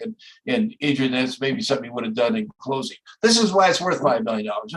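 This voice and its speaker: Very wide pitch swings at a very fast pace. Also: man. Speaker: lawyer and mock trial judge. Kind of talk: feedback to students. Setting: courtroom, streamed live.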